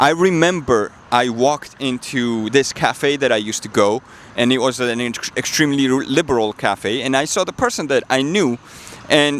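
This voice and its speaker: A man's fairly high voice rises and falls with lively intonation as noticeable background noise plays behind it. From Georgia (country). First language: Georgian. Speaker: political commentator, vlogger. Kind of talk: personal testimony monologue. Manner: halting, many fillers.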